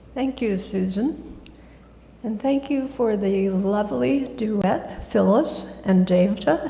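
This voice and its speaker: In a room with audible echo, a woman with an American accent speaks very slowly, her pitch swinging very widely. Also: medium pitch for a woman. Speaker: guest speaker at church. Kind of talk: sermon.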